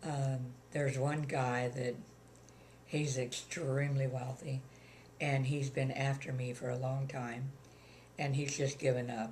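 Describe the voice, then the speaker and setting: A woman with a very deep, low, somewhat breathy voice speaks in a monotone, flat way at a fairly slow pace. Long, frequent pauses and audible room echo fill the recording. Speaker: retired widow. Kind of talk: interview.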